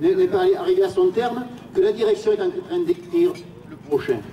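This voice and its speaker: Against noticeable background noise, a man talks fairly slowly at an extremely high pitch with very wide pitch swings. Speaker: trade union activist. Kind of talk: rally speech. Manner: halting, repeats words.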